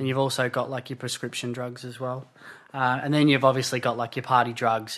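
Speaking in an Australian accent at a medium pitch, a man keeps a fairly quick pace over a quiet background. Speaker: construction worker and addiction support worker. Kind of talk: podcast interview. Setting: lounge room.

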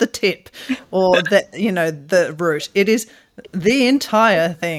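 On a very clean recording with a silent background, a woman with an Australian accent speaks with very wide pitch swings. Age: 40s. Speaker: podcast co-host. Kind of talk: casual chat.

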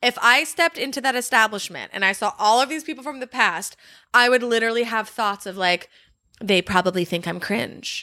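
Bright and sharp in tone, a woman speaks at a fairly quick pace with a fairly high pitch. Her intonation is lively, and the recording is very clean with a silent background. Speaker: podcast host. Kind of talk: casual chat. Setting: sitting on parents' couch at home.

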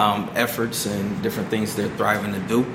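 A man's voice carries clear echo from the room along with obvious noise in the background. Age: 40s. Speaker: youth program staff member. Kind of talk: casual interview.

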